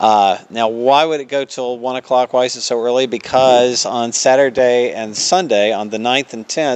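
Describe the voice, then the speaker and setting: Someone with a Southern US accent talks at a moderate pace with hardly any pauses and fairly even intonation. Noticeable background noise runs underneath. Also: man, medium pitch for a man. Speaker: theater staff promoting events. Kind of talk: radio interview. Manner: many filler words (uh).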